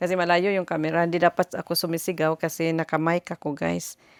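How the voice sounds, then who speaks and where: A woman's fairly low, monotone voice with flat intonation, dry and close with no echo, on a very clean recording with a silent background. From Philippines. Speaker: vlogger. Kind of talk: casual vlog. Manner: loud.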